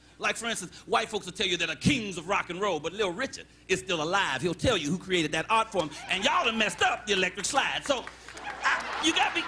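Over noticeable background noise, a man in a raised, projected voice speaks at a very fast pace with a high pitch, lively intonation and an animated tone. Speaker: stand-up comedian. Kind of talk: stand-up comedy set working the crowd, joke-telling with punchlines. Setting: stage with live audience. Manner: animated, conversational crowd-work with repeated phrases and audience banter; storytelling build-ups punctuated by quick punchlines and his own laughter.

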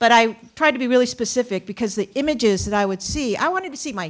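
A woman speaks against a quiet background. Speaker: panelist. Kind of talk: panel discussion answer. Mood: earnest, animated. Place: stage. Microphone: handheld.

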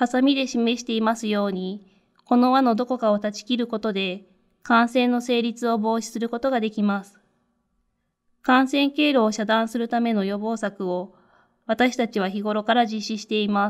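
In a very clean recording with a silent background, a normal speaking voice moves at a moderate pace with fairly even intonation and big swings in loudness. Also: woman, fairly high pitch for a woman. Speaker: infection control nurse. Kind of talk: lecture. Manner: formal.

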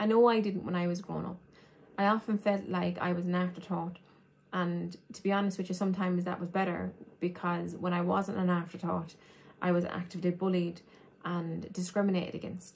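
A woman speaks fairly quickly in an Irish accent. Her fairly low voice is somewhat breathy, with monotone, flat intonation. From Ireland. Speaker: human rights advocate and trainee teacher. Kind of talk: educational talk. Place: home room. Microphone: phone near.

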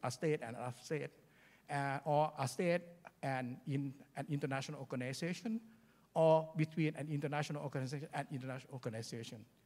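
A man talks at a fairly quick pace with a fairly high pitch and ordinary pitch variation. His tone is dark and mellow, somewhat breathy. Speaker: international law scholar; conference panelist. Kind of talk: conference presentation. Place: hall. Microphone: handheld.

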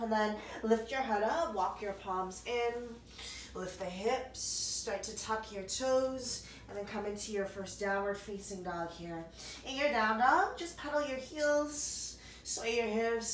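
A woman's fairly high voice with ordinary pitch variation, in a room with audible echo. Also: fairly slow pace.

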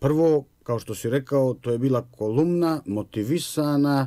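A man with a dark, mellow tone speaks at a moderate pace against a quiet background. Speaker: guest, professor. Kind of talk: interview answer. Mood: serious, measured. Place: studio. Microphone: studio mic.

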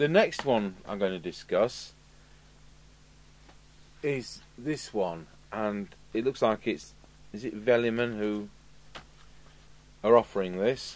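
Speaking slowly at a fairly low pitch, a man uses ordinary pitch variation and leaves long, frequent pauses.

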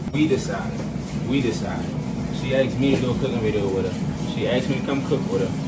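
A man talks at a very fast pace yet leaves long, frequent pauses. Loud background noise is present. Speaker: boyfriend in prank video. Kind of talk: casual argument on camera. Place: kitchen. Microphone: camera far.

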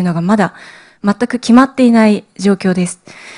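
A woman is heard over a quiet background. Her pitch is fairly high. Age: 30s. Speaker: cancer survivor and cancer education advocate. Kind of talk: lecture. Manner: formal. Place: hall. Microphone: podium.

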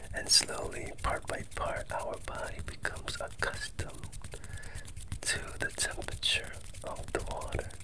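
The voice whispers at a fairly slow pace. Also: man. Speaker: meditation guide. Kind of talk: guided meditation. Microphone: earbuds.

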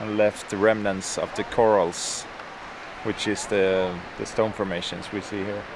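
The delivery is fairly slow and monotone, with flat intonation. The sound is dry with no echo, and background noise is noticeable. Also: man, fairly low pitch for a man. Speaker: travel vlogger. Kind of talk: casual explanatory vlog commentary. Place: beach. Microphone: camera far.

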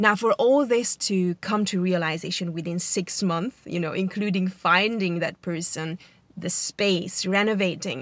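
A woman talks at a fairly slow pace in a dry recording with no echo. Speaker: vlogger. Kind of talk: casual vlog chat. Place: car. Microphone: phone near.

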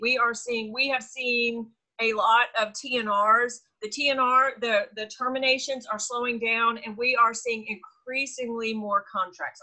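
A woman's high-pitched voice, bright and sharp in tone, at a fairly slow pace with fairly even intonation over a quiet background. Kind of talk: meeting update talk. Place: home room. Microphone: video call.

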